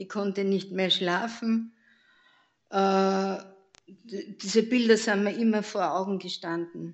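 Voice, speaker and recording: A woman talks at a very slow pace with long, frequent pauses. Her intonation is monotone and flat. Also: medium pitch for a woman. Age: 80s+. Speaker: church member giving testimony. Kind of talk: testimony. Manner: halting.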